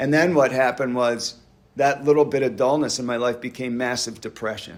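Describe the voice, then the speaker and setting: A man with a normal speaking voice and an American accent talks at a fairly quick pace, his medium pitch carried on fairly even intonation. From US, Pennsylvania (Doylestown area). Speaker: recovering alcoholic speaker. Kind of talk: recovery meeting testimony. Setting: church hall meeting with audience.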